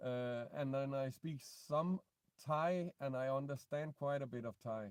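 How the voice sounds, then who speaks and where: A man with a Danish accent speaks at a very slow pace. His pitch is fairly high, with ordinary pitch variation. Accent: non-native English, Danish. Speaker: vlogger. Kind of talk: live stream Q&A. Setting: in a car. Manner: halting.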